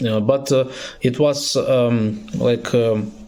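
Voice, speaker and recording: Over noticeable background noise and audible room echo, a man speaks very slowly at a medium pitch with ordinary pitch variation. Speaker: political activist. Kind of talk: recorded video statement. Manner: halting, many filler sounds.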